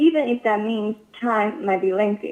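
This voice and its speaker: Here a woman speaks with a Chinese accent. Her voice is fairly high. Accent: Chinese-accented American English. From China (Inner Mongolia), moved to US at 14. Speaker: sales manager at a manufacturer. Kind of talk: interview. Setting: podcast.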